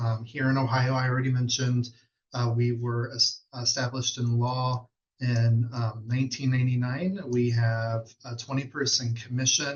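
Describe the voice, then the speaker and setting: Somewhat breathy and flat in intonation, a man talks at a medium pitch in a monotone. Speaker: state fatherhood commission official. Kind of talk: webinar presentation. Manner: fast.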